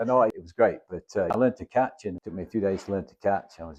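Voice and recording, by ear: With a low pitch, a slightly mellow tone and a slightly husky edge, a man speaks fast with ordinary pitch variation.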